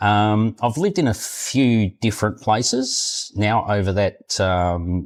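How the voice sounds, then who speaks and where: A man with an Australian accent and a fairly low pitch speaks very slowly, with ordinary pitch variation, very even loudness and hardly any pauses. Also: very clean recording, silent background. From Australia, Queensland. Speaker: retired expat. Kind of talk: interview. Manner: halting, many fillers.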